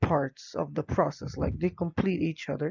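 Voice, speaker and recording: A man's fairly high voice with fairly even intonation and an Arabic accent. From Egypt. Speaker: English language teacher. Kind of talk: presentation. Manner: hesitant, many fillers.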